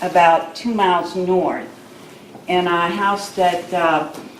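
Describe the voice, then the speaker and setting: Amid noticeable background noise, a woman with an American accent speaks at a very slow pace and medium pitch in a monotone, flat intonation. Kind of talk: oral history talk to an audience. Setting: live audience gathering.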